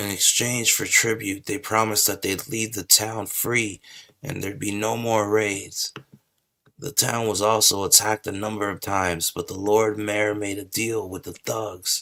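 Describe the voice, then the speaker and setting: In a put-on character voice, a man speaks at a moderate pace, raspy and fairly low in pitch. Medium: game stream. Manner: chatty, casual.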